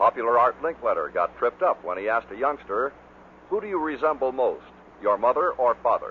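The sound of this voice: A man's medium-pitched voice at a moderate pace, with lively intonation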